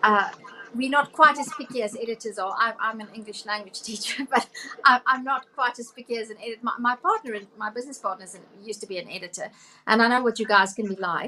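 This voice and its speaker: Bright, sharp tone from a woman, with lively intonation. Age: 50s. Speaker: podcast co-host and English teacher. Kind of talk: interview. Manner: halting.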